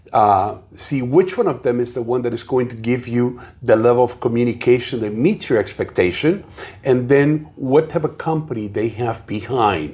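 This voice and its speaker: At a moderate pace, a man with a Spanish accent speaks at a medium pitch in a dark, mellow tone with ordinary pitch variation. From South America. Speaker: realtor. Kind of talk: interview.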